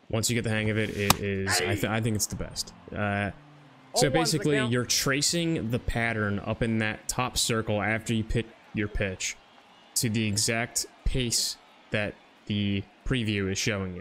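A man speaks at a moderate pace in a fairly low voice with ordinary pitch variation. Music plays in the background. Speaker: gaming YouTuber. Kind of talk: casual gaming tutorial commentary.

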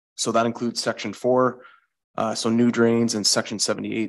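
The man is heard against a quiet background. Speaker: municipal public works staff; township staff presenting a report. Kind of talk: council meeting report. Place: meeting room. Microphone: podium.

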